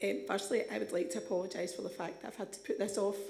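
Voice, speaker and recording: With a Scottish accent and vocal fry, a woman talks at a moderate pace in a room with audible echo. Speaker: advice charity representative. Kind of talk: presentation to council committee. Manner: hesitant, many ums.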